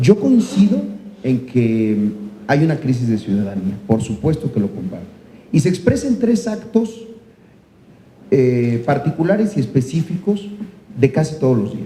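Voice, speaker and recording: A man speaks in a fairly high, somewhat breathy voice with very wide pitch swings. He leaves long, frequent pauses. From Mexico, Chiapas. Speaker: senator. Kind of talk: panel discussion. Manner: halting, many fillers.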